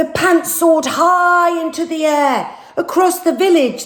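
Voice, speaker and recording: The delivery is very slow, with a playful tone. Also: woman. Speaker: actress and TV personality. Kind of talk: children's picture book reading. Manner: playful, storytelling.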